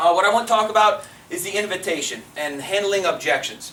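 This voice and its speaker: At a fairly quick pace, a man talks with ordinary pitch variation amid audible room echo and noticeable background noise. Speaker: network marketing leader. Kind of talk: sales training talk. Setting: stage with audience. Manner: fast; animated.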